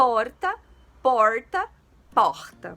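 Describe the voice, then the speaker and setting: A woman talks with a strong São Paulo accent and very wide pitch swings. Noticeable background noise sits behind her. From São Paulo city, Brazil. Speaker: Portuguese teacher, youtuber. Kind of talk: casual educational chat to camera. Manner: informal, relaxed.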